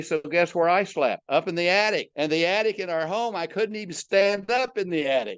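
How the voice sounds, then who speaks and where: A man with a Midwestern American accent talks at a fairly quick pace in a high voice with ordinary pitch variation. The background is quiet. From US Midwest, Omaha, Nebraska. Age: 80s+. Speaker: retired entrepreneur and motivational speaker. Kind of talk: podcast interview. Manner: conversational, from the heart.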